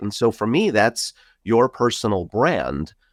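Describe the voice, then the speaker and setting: On a very clean recording with a silent background and a dry, close sound with no echo, a man speaks with a New York accent. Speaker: podcast host, IT company co-founder. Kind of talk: interview conversation. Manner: talkative.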